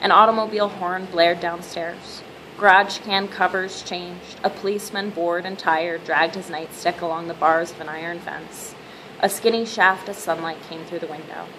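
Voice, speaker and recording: Over noticeable background noise, a woman with a fairly low pitch speaks at a moderate pace with fairly even intonation. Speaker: reader. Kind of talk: reading aloud from a novel. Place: home room. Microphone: webcam.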